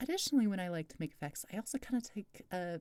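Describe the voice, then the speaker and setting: Speaking at a fairly quick pace, a woman with a medium pitch and a dark, mellow tone makes very wide pitch swings. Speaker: video tutorial creator. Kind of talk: tutorial. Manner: fast; casual, with many fillers.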